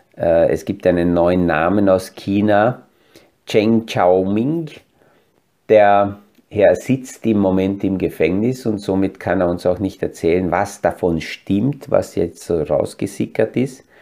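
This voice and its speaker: A man talks at a very slow pace with a fairly low pitch. His tone is dark and mellow, with ordinary pitch variation. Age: 50s. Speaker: financial planner and podcast host. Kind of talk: solo market commentary.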